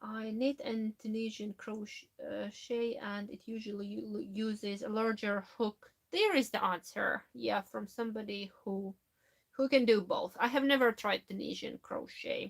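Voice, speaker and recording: A woman with a non-native accent, somewhat breathy at a fairly high pitch, at a fairly slow pace with fairly even intonation and big swings in loudness. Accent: foreign accent in Finnish and English. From Latvia. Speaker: knitting YouTuber. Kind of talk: live stream chat reading comments. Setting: live stream from home. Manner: halting.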